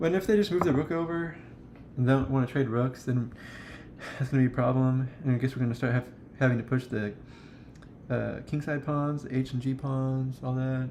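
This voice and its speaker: Long, frequent pauses break up a man's fairly quick pace, and his pitch is medium. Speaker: chess streamer. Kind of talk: live game commentary. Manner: fast; casual, animated.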